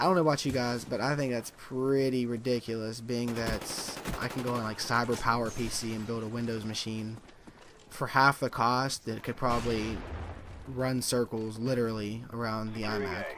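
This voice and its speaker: Over noticeable background noise, a man speaks at a moderate pace. His medium-pitched voice has a monotone, flat intonation. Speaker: gaming YouTuber. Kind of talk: gameplay commentary. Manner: halting, stumbling over words; casual.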